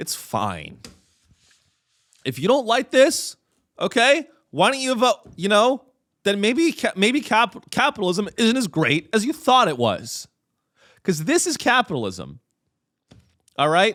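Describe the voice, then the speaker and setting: Speaking at a fairly slow pace with long, frequent pauses, a man with a high pitch makes very wide pitch swings, the sound dry and close with no echo. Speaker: comedian and podcast host. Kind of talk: comedic podcast monologue. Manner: animated.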